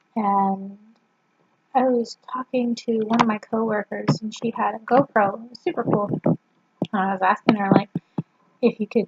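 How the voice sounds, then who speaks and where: The woman speaks quietly, her intonation fairly even. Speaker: vlogger. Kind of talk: casual vlog. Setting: at home, family member sleeping nearby. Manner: quiet, subdued.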